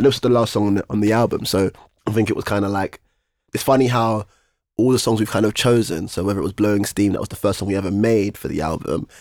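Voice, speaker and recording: A man's fairly low voice in a London accent at a very fast pace, dry and close with no echo, on a very clean recording with a silent background. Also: ordinary pitch variation. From East London. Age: 20s. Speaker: rapper. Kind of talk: casual chat. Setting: studio.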